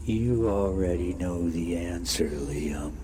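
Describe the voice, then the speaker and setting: A man puts on a character voice, very deep and low, speaking at a fairly slow pace over loud background noise. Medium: solo performance. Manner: calm, eerie, terse.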